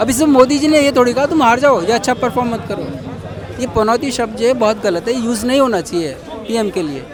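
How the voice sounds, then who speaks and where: Crowd noise fills the background and audible room echo surrounds a man with an extremely high pitch. He talks at a moderate pace with ordinary pitch variation. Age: 60s. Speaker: member of the public. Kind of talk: vox pop interview.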